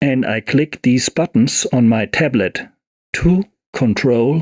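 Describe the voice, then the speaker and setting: A man at a very slow pace, medium in pitch, with a non-native accent and a dry, close sound with no echo. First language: not English. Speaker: music software tutorial creator. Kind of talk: tutorial. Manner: halting, with fillers.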